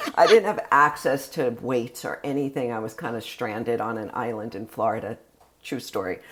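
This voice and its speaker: A woman's very deep, low voice at a moderate pace, with ordinary pitch variation, big swings in loudness and a very clean recording on a silent background. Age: 60s. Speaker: health and wellness coach. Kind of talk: interview. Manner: animated.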